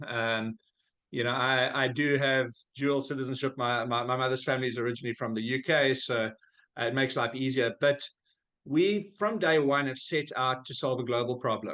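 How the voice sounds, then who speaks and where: Using ordinary pitch variation, a man speaks with a South African accent. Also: medium pitch for a man, moderate pace. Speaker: business founder. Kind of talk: podcast interview. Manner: conversational with frequent fillers.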